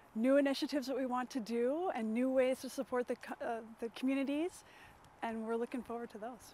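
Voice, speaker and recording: Against light background noise and a dry sound with no echo, a woman talks at a fairly quick pace in a high pitch, her tone dark and mellow and her intonation fairly even. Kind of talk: interview answer. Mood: warm, reflective. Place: street. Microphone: lapel.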